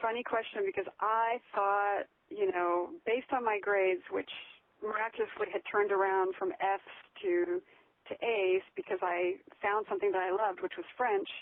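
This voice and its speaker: The speaker has a normal speaking voice with an American accent. The pace is moderate and the pitch variation ordinary. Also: woman, medium pitch for a woman. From United States. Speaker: blogger and writer. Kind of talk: interview. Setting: phone call.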